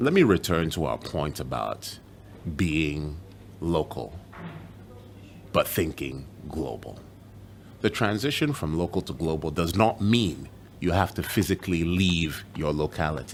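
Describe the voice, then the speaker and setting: A man with a very deep, low pitch and vocal fry talks at a fairly slow pace, using lively intonation and long, frequent pauses. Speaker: journalist; broadcaster. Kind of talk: motivational video address. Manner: soft-spoken.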